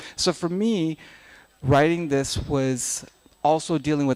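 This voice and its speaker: The speaker has an Afghan accent and ordinary pitch variation. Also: man. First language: Dari. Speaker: novelist. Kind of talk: panel talk. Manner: halting.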